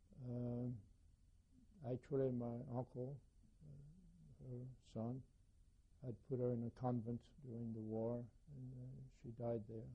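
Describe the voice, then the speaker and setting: A man's somewhat breathy, dark, mellow voice at a medium pitch, very slow with long, frequent pauses and ordinary pitch variation. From France, Paris. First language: French. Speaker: Holocaust survivor. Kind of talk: testimony. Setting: recorded interview with microphone. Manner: halting.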